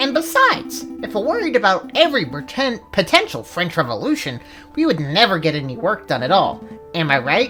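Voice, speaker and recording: A put-on character voice at middle pitch moves at a fairly quick pace over clear music in the background. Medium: game stream. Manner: excitable, chatty.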